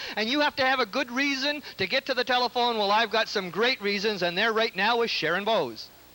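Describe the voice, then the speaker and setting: A man's extremely high, bright, sharp voice, raised and projected, at a fairly quick pace with hardly any pauses, very even loudness and ordinary pitch variation. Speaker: telethon host. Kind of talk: telethon appeal. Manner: fast; animated.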